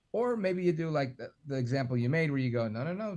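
Using an ordinary speaking voice, a man talks at a fairly quick pace and a fairly high pitch. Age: 40s. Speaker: radio talk show host. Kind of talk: casual chat. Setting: video call.

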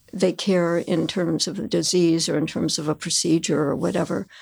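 In a plain, everyday voice with an American accent, a woman at a fairly low pitch speaks at a moderate pace with fairly even intonation on a very clean recording with a silent background. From Chicago area, US Midwest. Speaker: patient. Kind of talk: casual interview.

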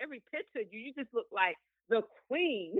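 A woman's high voice with very wide pitch swings at a moderate pace. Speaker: guest. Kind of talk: casual chat.

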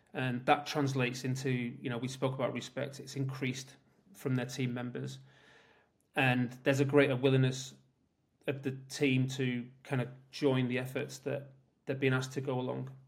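Somewhat breathy, monotone speech at a moderate pace, with flat intonation, long, frequent pauses and audible room echo. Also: man, medium pitch for a man. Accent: British. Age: 50s. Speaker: tech executive. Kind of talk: interview.

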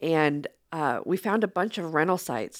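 The recording is very clean, with a silent background. A woman with fairly low pitch talks at a moderate pace with very wide pitch swings. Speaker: app co-founder. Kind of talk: interview. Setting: studio.

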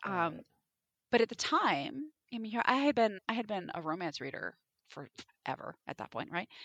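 At a moderate pace, a woman with vocal fry speaks at a fairly high pitch, showing very wide pitch swings and big swings in loudness. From Alaska. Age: 40s. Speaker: romance author. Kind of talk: casual chat.

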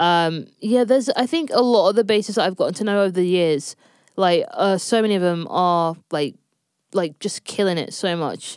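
Here a woman speaks in a London accent. Her pace is moderate. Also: medium pitch for a woman, ordinary pitch variation. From North London. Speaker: session bassist and producer. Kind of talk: interview.

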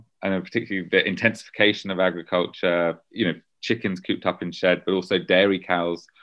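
A man with a British accent talks at a fairly quick pace in a very deep, low pitch, his delivery monotone and flat. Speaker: journalist and author. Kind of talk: interview.

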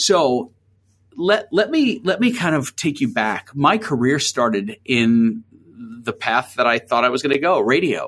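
A man speaks fairly slowly in a fairly high voice with very wide pitch swings and very even loudness. The recording is very clean, with a silent background. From New York City (Queens). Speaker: agency founder. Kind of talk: interview.

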